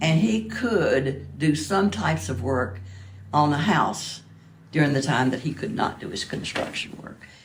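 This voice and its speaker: A woman with an American accent speaks at a fairly slow pace in a very deep, low pitch with very wide pitch swings. Audible room echo surrounds her voice. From US South, southwest Virginia. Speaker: museum donor. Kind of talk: interview. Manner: halting.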